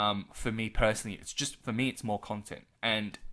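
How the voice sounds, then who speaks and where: A man with an Australian accent and a bright, sharp tone, on a very clean recording with a silent background. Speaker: gaming youtuber. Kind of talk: casual video commentary. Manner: normally fast. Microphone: large expensive studio microphone.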